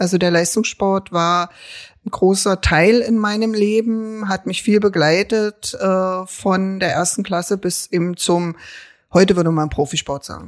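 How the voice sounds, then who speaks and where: A woman has a plain, everyday voice at a medium pitch. She speaks at a fairly slow pace with fairly even intonation. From Berlin, Treptow-Köpenick. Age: 50s. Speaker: local politician and social worker. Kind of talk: casual interview.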